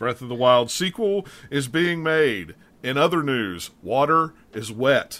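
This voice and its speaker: A man with a West Virginia accent, fairly high in pitch, bright and sharp in tone, with lively intonation at a fairly slow pace. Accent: West Virginian Appalachian. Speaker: podcast host, gaming. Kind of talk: casual chat.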